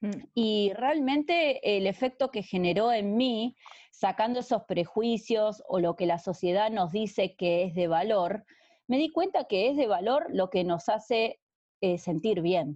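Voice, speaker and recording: Speaking at a fairly slow pace with a Rioplatense accent, a woman uses lively intonation and keeps her loudness very even. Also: fairly high pitch for a woman. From Argentina. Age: 30s. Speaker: romance novelist. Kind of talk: interview conversation.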